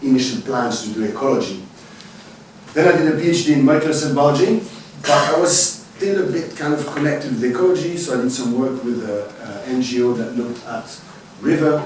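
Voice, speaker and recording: A man with a Swiss French accent, medium in pitch, with lively intonation, audible room echo and noticeable background noise. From French-speaking Switzerland, Lausanne. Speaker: university biologist, parasitologist. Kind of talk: lecture. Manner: halting.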